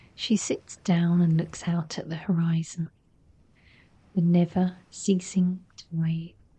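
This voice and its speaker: This soft-spoken voice has a gentle tone and an English accent. The pace is very slow. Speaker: narrator. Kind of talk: sleep story. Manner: soft-spoken, gentle.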